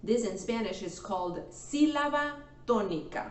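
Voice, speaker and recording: Over noticeable background noise, a woman talks at a very slow pace with very wide pitch swings. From Mexico. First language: Spanish. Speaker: Spanish teacher. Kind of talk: language lesson to camera.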